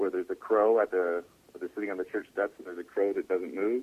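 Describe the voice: Male speech, moderately paced, pitch varying in an ordinary way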